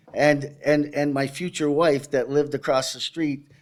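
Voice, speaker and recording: Here a man speaks with a Canadian accent at a moderate pace. The recording is very clean, with a silent background. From Canada, Toronto. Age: 60s. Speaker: abuse survivor speaker. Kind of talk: testimony. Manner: halting.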